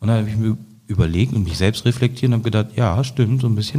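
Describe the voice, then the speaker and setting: The man's voice has a dark, mellow tone, a somewhat breathy quality and ordinary pitch variation. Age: 30s. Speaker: politician and podcast host. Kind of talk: casual interview.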